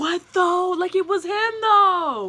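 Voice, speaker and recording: A raised, projected voice from a woman with an American accent and an extremely high pitch. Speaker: YouTuber. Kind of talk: casual vlog Q&A.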